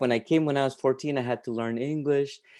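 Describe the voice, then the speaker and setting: A man's medium-pitched voice with a dark, mellow tone and a Peruvian accent, fairly even in intonation, against a quiet background. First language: Spanish. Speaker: writer and literature professor. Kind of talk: conversation and fiction reading. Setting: video call. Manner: halting, many fillers and repetitions.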